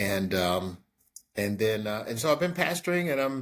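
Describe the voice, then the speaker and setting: Here a man talks at a fairly quick pace and a medium pitch. The recording is very clean, with a silent background. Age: 60s. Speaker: pastor. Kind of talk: interview answers. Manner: hesitant, many fillers.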